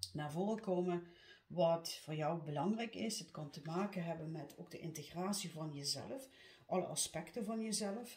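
A woman with a fairly low pitch speaks at a moderate pace, with audible room echo. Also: ordinary pitch variation. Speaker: card reader. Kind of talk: tarot reading monologue. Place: home room. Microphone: phone near.

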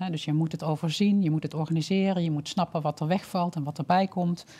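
A woman talks at a very fast pace in a fairly low, somewhat breathy voice. Her tone is dark and mellow, with ordinary pitch variation. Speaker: health scientist and social entrepreneur; guest. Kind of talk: webinar presentation. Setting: online webinar. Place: studio. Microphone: headset.

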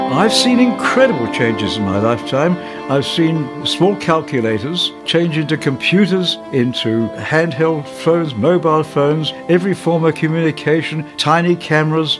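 Over clear background music, a man with a fairly high pitch speaks at a moderate pace with lively intonation. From England. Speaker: war veteran and retired electronics businessman. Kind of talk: interview answer. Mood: reflective, reminiscing. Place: home room. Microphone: lapel.

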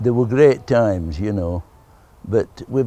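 A man's fairly low, dark and mellow voice in a Yorkshire accent, lively in intonation and fairly slow, recorded dry with no echo. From Barnsley, Yorkshire. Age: 80s+. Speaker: football kit man, former goalkeeper. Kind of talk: interview answer. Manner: casual, plain-spoken.

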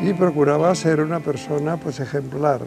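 Fairly even intonation from a man with a fairly high pitch, with clear music in the background. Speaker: sibling of the documentary subject. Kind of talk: interview answer. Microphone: lapel.

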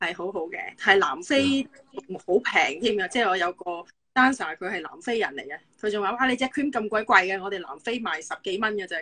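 A woman speaks with lively intonation at a fairly quick pace. Her loudness swings widely. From Hong Kong. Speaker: physiotherapist; guest. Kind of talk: casual chat. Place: home room. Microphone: video call.

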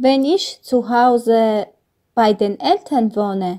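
Very slow speech with an Armenian accent and ordinary pitch variation. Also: woman, very clean recording, silent background. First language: Armenian (speaking German). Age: 20s. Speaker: German learner. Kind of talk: exam presentation.

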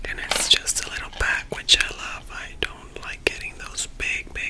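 The speaker is whispering and soft-spoken. Loud background noise surrounds the voice. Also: woman. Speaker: video creator. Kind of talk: casual vlog chat, ASMR eating video. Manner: soft close-mic whisper. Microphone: studio mic.

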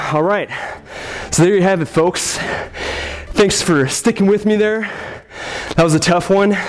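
Crowd noise fills the background. A man is speaking over it. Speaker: fitness trainer. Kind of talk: workout instruction, counting reps. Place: gym. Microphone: lapel.

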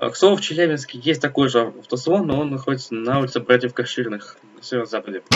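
A man's medium-pitched voice rushes along very quickly, its pitch moving up and down in an ordinary way. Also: hardly any pauses. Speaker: gaming youtuber. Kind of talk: game walkthrough narration. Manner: halting.

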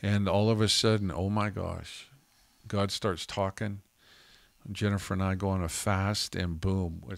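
A man speaks with a Canadian accent at a fairly low pitch, a fairly slow pace and a monotone, flat intonation. The sound is dry with no echo, over a quiet background. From Canada (Calgary, Alberta); Alberta, Canada. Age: 50s. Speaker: pastor and podcast co-host; podcast co-host, minister. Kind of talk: casual chat. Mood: earnest, reflective. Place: studio. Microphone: studio mic.

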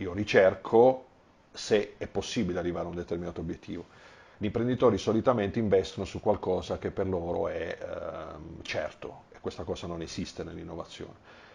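This man speaks at a fairly quick pace, his loudness swinging widely. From Apulia, Corato; Apulia. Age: 40s. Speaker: engineer and business owner; interviewee. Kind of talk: interview. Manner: halting. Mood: calm, reflective. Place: home room. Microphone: lapel.

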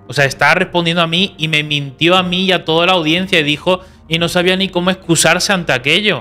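Delivered at a very fast pace, the speech keeps a very even loudness over faint background music. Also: man, high pitch for a man, fairly even intonation. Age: 20s. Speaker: YouTuber. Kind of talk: reaction commentary; commentary response video. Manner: calm. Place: studio. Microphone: studio mic.

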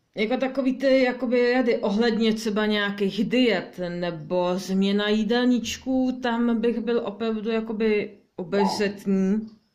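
A woman at a fairly slow pace, with fairly even intonation and very even loudness. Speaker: card reader. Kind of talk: weekly tarot reading. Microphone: phone near.

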